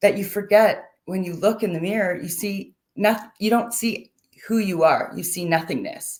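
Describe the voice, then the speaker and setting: A woman talks at a fairly slow pace in an unremarkable speaking voice. Her pitch is medium, with ordinary pitch variation. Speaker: mental health advocate. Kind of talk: personal testimony talk.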